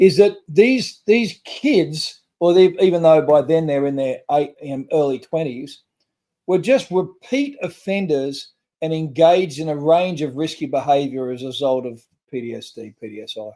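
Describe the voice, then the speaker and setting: A man with an Australian accent talks at a moderate pace in a dark, mellow tone with a fairly high pitch. His intonation is lively, and his loudness swings widely. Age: 60s. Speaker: trauma recovery nonprofit founder. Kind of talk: podcast interview. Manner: halting.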